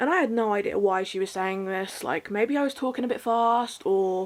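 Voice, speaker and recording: With a British accent, a woman talks at a fairly quick pace and ordinary pitch variation. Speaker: vlogger. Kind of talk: casual monologue. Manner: fast.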